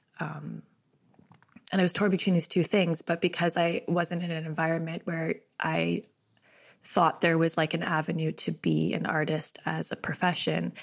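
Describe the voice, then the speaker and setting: With a Canadian accent, a woman speaks at a fairly low pitch with vocal fry. Her intonation is monotone and flat, at a moderate pace. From Canada, Ottawa. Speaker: book designer and writer. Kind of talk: interview conversation.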